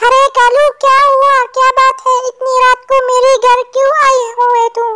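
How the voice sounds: In a cartoonish character voice, a woman speaks at an extremely high pitch and a moderate pace, with very even loudness and flat, monotone intonation.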